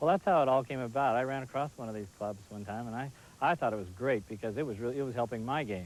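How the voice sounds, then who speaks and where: A man's medium-pitched voice, ordinary pitch variation, very fast pace. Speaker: professional golfer. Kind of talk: infomercial interview answer.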